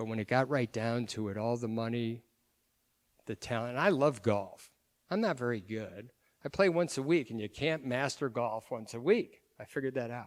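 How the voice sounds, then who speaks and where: A man talks in a plain, everyday voice at medium pitch. He has a moderate pace and ordinary pitch variation. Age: 60s. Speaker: pro-life speaker. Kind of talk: public talk.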